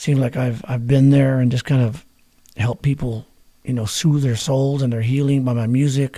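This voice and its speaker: In an American accent, a man speaks at a moderate pace. His tone is dark and mellow, and his voice is somewhat breathy. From New Mexico. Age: 60s. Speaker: musician. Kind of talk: interview. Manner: casual.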